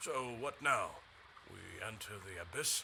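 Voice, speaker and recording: Put-on character voice from a man at medium pitch, fairly slow pace, over clear background noise. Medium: video game. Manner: earnest.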